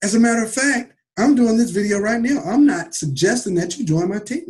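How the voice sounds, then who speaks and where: Speaking in an American accent, a man with a high pitch uses lively intonation and an animated tone. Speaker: network marketing company leader. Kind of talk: motivational livestream talk. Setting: livestream recorded on computer.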